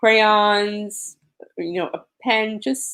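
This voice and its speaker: Here a woman speaks with a New York accent. Her pitch is fairly high and her pace very slow. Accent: New York (Queens). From New York, Queens. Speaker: disaster survivor advocate. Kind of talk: interview.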